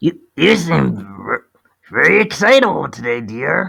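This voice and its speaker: A man puts on a character voice. It is raspy and high in pitch. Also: fairly slow pace. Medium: read story.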